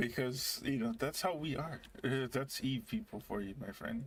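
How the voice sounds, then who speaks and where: A man speaks at a moderate pace in a gruff, angry tone. His pitch is medium, with ordinary variation. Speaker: gaming streamer. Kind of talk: casual chat. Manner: sounds angry or gruff.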